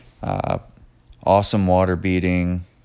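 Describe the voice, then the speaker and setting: A man speaks with a very deep, low pitch. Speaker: auto detailer and shop owner. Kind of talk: voiceover narration of detailing video. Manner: monotone; hesitant, many fillers.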